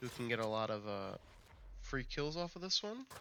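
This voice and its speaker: A man's voice at a moderate pace, with music in the background. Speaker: gaming guide creator. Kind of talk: game tutorial narration. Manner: casual, with fillers.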